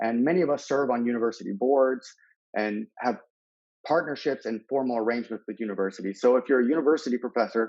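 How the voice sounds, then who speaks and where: At a very fast pace, a man with an American accent talks at a medium pitch with ordinary pitch variation. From Texas, Houston. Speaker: school district manager presenting. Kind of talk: webinar presentation.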